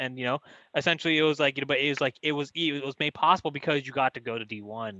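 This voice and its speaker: Speaking at a very fast pace, a man with a Californian accent uses a fairly high pitch and ordinary pitch variation. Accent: Californian American English. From San Francisco Bay Area, California. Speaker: podcast host, former football player. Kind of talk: podcast interview.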